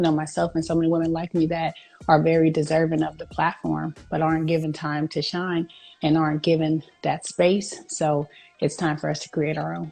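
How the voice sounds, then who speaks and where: With music playing in the background, a woman in an American accent speaks at a fairly quick pace. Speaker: professional boxer. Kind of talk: interview. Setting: live stream interview.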